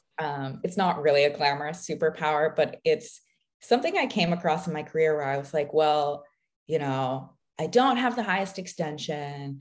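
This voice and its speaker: A woman with a very deep, low pitch and an American accent, her intonation lively, her pace moderate. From US Pacific Northwest. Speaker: professional ballet dancer. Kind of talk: casual interview.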